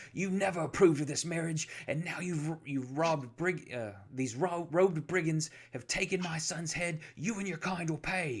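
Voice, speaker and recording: A man's booming put-on character voice, fairly high in pitch, at a moderate pace. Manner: accusatory, angry.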